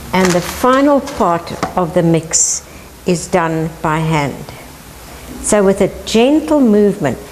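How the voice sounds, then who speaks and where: A woman talks at a very slow pace, leaving long, frequent pauses, while her pitch swings very widely. Her loudness stays very even, and there is noticeable background noise. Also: medium pitch for a woman. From South Africa. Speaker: home cook, housewife. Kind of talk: cooking lesson to camera.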